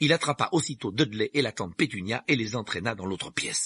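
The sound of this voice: The lively intonation carries through an unforced reading voice.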